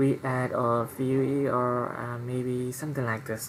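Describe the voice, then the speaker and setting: Noticeable background noise accompanies speech that moves fairly slowly. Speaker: programming tutorial creator. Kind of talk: tutorial. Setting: at home at night. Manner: soft-spoken; halting. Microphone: quiet recording level.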